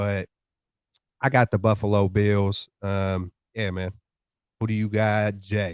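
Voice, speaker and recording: A man with an American accent speaks very slowly at a fairly low pitch, with long, frequent pauses. The recording is very clean with a silent background and a dry, close sound with no echo. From Vallejo, California (Bay Area). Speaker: sports podcast co-host. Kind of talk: casual chat. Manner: animated.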